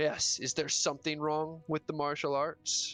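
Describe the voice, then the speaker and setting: Faint music sits in the background behind a put-on character voice. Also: man, fairly high pitch for a man, moderate pace. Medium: actual play. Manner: dry, mocking.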